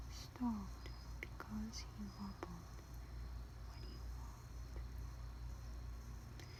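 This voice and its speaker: A woman is speaking. Her tone is calm. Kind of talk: poem reading, quiet late-night ASMR-style. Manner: quiet, calm, slow.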